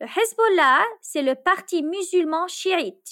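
An extremely high-pitched woman's voice, very slow, with very wide pitch swings. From Lebanon. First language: Arabic (speaking Spanish). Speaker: storyteller sharing a travel story. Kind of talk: scripted narration.

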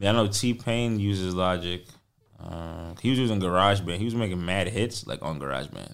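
A man with a New York accent talks in a very deep, low pitch and ordinary pitch variation. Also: fairly quick pace. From New York, the Bronx. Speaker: singer-songwriter and producer. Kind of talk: casual interview chat. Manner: animated.

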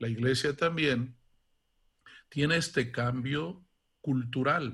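Speaking very slowly, a man uses a medium pitch. His pitch variation is ordinary. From Mexico, Guanajuato. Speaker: archbishop. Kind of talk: interview.

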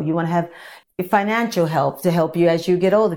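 A woman speaks with fairly even intonation at a fairly low pitch. She has an unremarkable speaking voice. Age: 60s. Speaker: fitness instructor. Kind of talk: casual chat.

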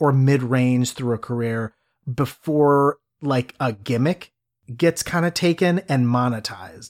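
A man with an American accent and an unremarkable speaking voice talks at a medium pitch with ordinary pitch variation. The recording is very clean with a silent background, and the sound is dry and close with no echo. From US Midwest, Cleveland. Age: 30s. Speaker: podcast host. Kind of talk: casual chat.

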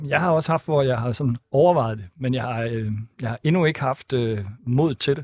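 A man talks in a normal speaking voice at medium pitch, with ordinary pitch variation and a moderate pace. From Denmark, Thisted (northern Jutland). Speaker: politician. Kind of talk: radio interview.

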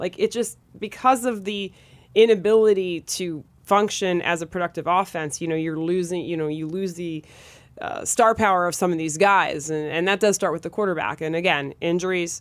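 A woman talks at a fairly low pitch and moderate pace with ordinary pitch variation. The recording is very clean with a silent background. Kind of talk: sports talk analysis. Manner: conversational, hesitant, with fillers and emotional tone.

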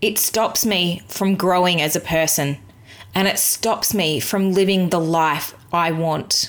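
In an Australian accent, a woman talks at a very slow pace with fairly low pitch, ordinary pitch variation and very even loudness. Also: very clean recording, silent background. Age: 30s. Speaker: podcast host, virtual assistant business owner. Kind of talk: solo podcast monologue.

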